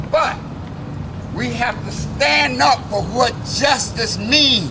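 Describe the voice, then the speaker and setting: A man speaks at a very slow pace with audible room echo and noticeable background noise. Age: 70s. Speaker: civil rights veteran. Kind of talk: protest speech. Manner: rousing.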